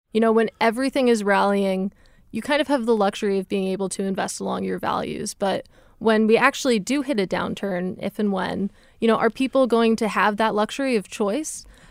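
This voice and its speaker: A woman's plain, everyday voice with ordinary pitch variation in a very clean recording with a silent background. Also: fairly high pitch for a woman, fairly quick pace, dry, close sound with no echo. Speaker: financial news reporter. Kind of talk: casual conversation.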